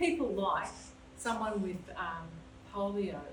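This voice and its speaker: The clip has noticeable background noise and audible room echo. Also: woman. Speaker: volunteer social history guide. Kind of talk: panel talk to audience. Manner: loud.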